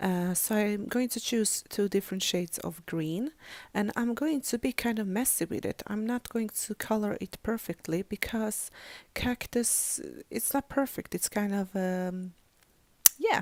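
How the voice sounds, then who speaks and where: A woman talks at a fairly slow pace and a medium pitch with ordinary pitch variation. The recording is very clean with a silent background and a dry, close sound with no echo. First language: not English; English is third language. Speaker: crafting YouTuber. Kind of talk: tutorial. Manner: halting, many fillers.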